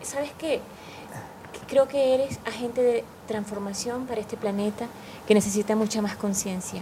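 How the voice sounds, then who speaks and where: The speaker has a Venezuelan accent and a moderate pace, with fairly even intonation and long, frequent pauses. Noticeable background noise is present. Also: woman, fairly high pitch for a woman. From Caracas, Venezuela. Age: 50s. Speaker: meditation teacher. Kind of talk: casual interview.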